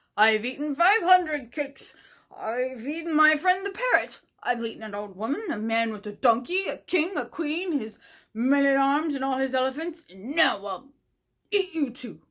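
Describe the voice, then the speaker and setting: Using a put-on character voice, a female-sounding speaker talks high in pitch at a moderate pace. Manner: boastful, menacing.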